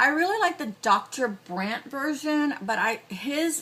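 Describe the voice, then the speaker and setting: Noticeable background noise runs behind a woman speaking. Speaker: beauty vlogger and cosmetics store worker. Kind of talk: makeup tutorial. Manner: casual, hesitant with fillers.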